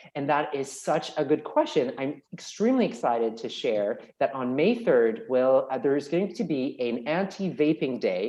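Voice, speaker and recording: A man's fairly high voice has a dark, mellow tone and very wide pitch swings. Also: hardly any pauses. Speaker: paediatrician. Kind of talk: webinar Q&A. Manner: fast.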